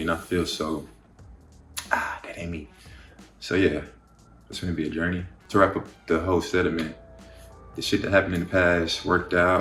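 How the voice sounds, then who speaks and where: Over music in the background, a man with an American accent speaks at a very fast pace in a very deep, low voice, with audible room echo. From Dallas, Texas (Oak Cliff). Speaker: model and creative artist, vlogger. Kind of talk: casual Q&A vlog.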